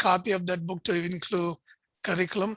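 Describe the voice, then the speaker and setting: A bright, sharp voice with a Pakistani accent keeps a fairly even intonation. The sound is dry and close with no echo. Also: man. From India, Bangalore. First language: Urdu. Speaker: interfaith think tank director and host. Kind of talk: video interview conversation.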